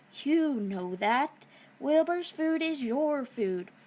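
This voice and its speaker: The speaker puts on a character voice and talks at a very slow pace. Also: woman, high pitch for a woman. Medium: read story. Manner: deliberate, persuasive.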